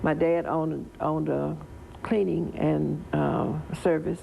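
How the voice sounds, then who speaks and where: A woman with a Southern US accent. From Tennessee, Wilson County. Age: 70s. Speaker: local political figure. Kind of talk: interview.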